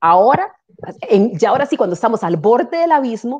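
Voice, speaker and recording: This woman's voice sits fairly high and swings very widely in pitch. She speaks at a fairly quick pace. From Costa Rica. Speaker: political analyst. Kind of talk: political commentary.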